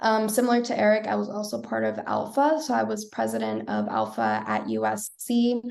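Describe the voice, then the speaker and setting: A woman speaks with an American accent at a fairly quick pace. She leaves hardly any pauses. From US, Los Angeles (San Fernando Valley). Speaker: workshop presenter. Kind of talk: career workshop presentation.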